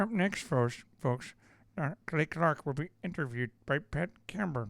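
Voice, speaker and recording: This is a put-on character voice, nasal and middle in pitch, at a moderate pace. The recording is very clean, with a silent background. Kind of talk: announcer voice.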